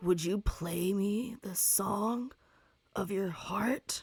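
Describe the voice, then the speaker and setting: A woman uses a put-on character voice that is raspy. Her pitch is medium and her pace very slow. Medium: actual play. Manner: blunt, simple, gruff.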